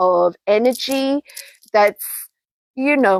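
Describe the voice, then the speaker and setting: In an Australian accent, a woman speaks at a fairly slow pace with ordinary pitch variation and a dry, close sound with no echo. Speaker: textile artist. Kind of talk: product demonstration.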